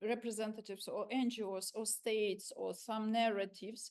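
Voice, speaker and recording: A woman speaks in a Ukrainian accent at a moderate pace. Her pitch is fairly high. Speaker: civil society activist. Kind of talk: panel discussion. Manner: halting.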